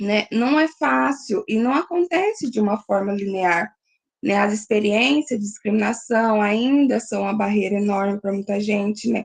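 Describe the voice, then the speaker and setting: With lively intonation, a woman speaks at a moderate pace and a fairly high pitch. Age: 20s. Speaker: graduate student presenting at a seminar. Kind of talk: academic seminar presentation. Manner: halting, many fillers.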